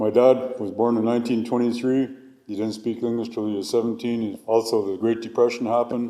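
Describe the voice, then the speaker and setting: A man's medium-pitched voice, dark and mellow in tone, at a moderate pace with monotone, flat intonation. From northern British Columbia coast, Canada (Tsimshian). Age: 60s. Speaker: hereditary chief and cultural researcher. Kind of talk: testimony. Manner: halting.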